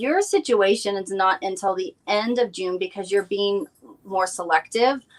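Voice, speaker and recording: A woman talks in an unremarkable speaking voice at a moderate pace, medium in pitch with ordinary pitch variation. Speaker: psychic. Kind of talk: live psychic reading. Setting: live stream.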